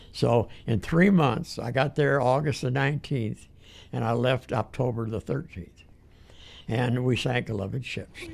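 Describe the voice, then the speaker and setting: With vocal fry and a medium pitch that varies in an ordinary way, a man speaks at a fairly slow pace. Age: 80s+. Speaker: war veteran. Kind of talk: interview answer.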